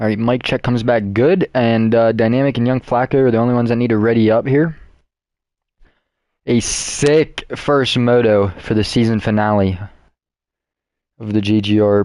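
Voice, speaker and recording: At a moderate pace and medium pitch, a man talks with long, frequent pauses. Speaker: esports race commentator. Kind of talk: live commentary. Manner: animated.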